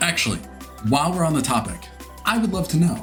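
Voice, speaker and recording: Music can be heard in the background. Over it, a man speaks at a very fast pace. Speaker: voice actor, audiobook narrator. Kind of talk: casual talk to camera, instructional video.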